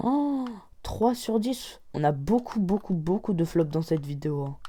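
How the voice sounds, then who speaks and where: A woman with a fairly low pitch and a dark, mellow tone, at a very slow pace with lively intonation. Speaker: Minecraft gaming YouTuber. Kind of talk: gameplay commentary. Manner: animated.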